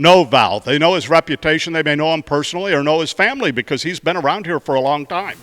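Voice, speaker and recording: In a dry, close recording with no echo, a man with a fairly high pitch uses an ordinary speaking voice with ordinary pitch variation. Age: 60s. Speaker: mayor hosting a community show. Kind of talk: casual interview. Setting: indoor golf arena.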